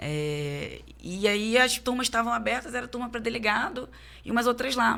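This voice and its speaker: A woman's bright, sharp voice with vocal fry and lively intonation, in a strong carioca accent, at a fairly slow pace on a very clean recording with a silent background. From Rio de Janeiro, Tijuca (North Zone). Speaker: police chief. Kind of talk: casual interview chat. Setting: studio.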